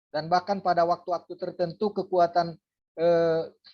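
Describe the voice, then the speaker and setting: Over a quiet background, a woman talks at a moderate pace in a dark, mellow tone with a fairly low pitch. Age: 60s. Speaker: pastor and lecturer. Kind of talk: lecture. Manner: frequent filler hesitations.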